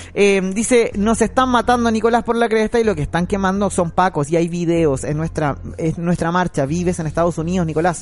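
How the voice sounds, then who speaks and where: The speaker talks at a fairly quick pace with hardly any pauses and ordinary pitch variation. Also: man, high pitch for a man. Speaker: radio co-host and board operator. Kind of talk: talk radio debate.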